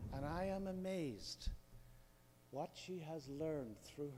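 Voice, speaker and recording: In an Irish accent, a man with a dark, mellow tone and lively intonation speaks at a very slow pace. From Northern Ireland. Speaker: audience member asking a question. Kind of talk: audience Q&A.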